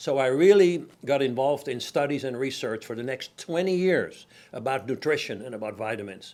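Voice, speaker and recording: Speaking at a moderate pace in a Dutch accent, a man keeps his intonation lively and hardly pauses at all. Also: medium pitch for a man. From Netherlands, Amsterdam. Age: 70s. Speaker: company founder. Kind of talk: interview.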